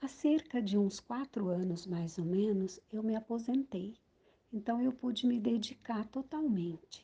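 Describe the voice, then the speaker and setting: A woman with a dark, mellow tone and a fairly high voice speaks at a fairly slow pace with ordinary pitch variation. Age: 60s. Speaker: poet and columnist. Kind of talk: poetry reading.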